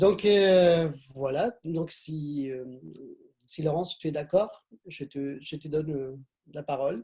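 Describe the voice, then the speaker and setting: A man with a slight Argentine accent speaks at a very slow pace in a fairly high pitch and a dark, mellow tone, with ordinary pitch variation, big swings in loudness, and long, frequent pauses. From Argentina. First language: Spanish (speaking French). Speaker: webinar moderator. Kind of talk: speaker introductions in a webinar. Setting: online video conference. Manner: halting, many repetitions.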